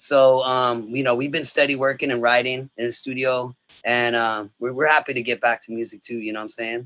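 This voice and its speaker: A man with an American accent talks fairly quickly at medium pitch, his bright, sharp tone flat and monotone in a dry, close sound with no echo. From Los Angeles area, US. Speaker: reggae rock musician. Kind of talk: casual interview chat.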